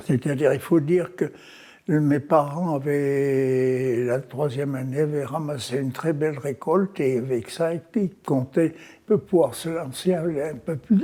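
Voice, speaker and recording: With ordinary pitch variation, a man talks very slowly in a fairly high voice. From France, Auvergne (Haute-Loire, Limagne). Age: 90s. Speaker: elderly interviewee recounting life story. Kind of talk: life-story interview. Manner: halting, with frequent repetitions and hesitations.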